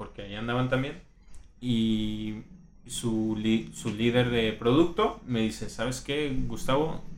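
A man talks at a fairly slow pace with a medium pitch. Audible room echo is present. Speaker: UX designer. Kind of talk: casual interview. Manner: loud.

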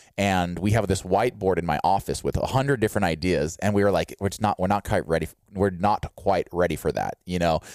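Fairly quick speech from a man with a fairly low pitch, an ordinary speaking voice, in a dry, close sound with no echo. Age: 30s. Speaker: fitness YouTuber and podcast host. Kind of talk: casual chat. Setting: video call.

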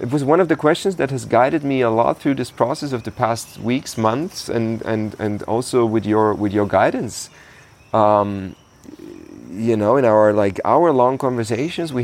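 Lively intonation and a moderate pace come through in a German accent. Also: man. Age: 30s. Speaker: podcast host. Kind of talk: casual conversation.

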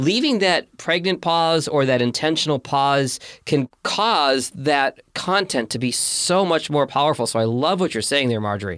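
An ordinary speaking voice with an American accent moves at a moderate pace, with lively intonation and hardly any pauses. The recording is very clean, with a silent background. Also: man, fairly high pitch for a man. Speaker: podcast host and producer. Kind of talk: interview.

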